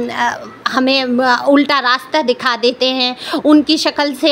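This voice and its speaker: A woman speaks loudly at a high pitch amid noticeable background noise. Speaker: tarot card reader. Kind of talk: tarot reading monologue. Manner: loud, raised pitch.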